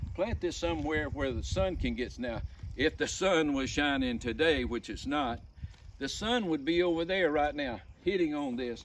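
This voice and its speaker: A man with an Alabama accent and lively intonation, at a fairly high pitch and a moderate pace. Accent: Southern US (Alabama). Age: 70s. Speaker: homesteader. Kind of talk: casual vlog talk. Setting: outdoors.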